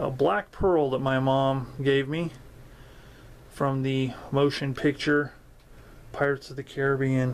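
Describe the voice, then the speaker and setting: A man speaks in a flat monotone at a fairly slow pace, with light background noise behind him. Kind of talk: casual vlog chat. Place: home room. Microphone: phone near.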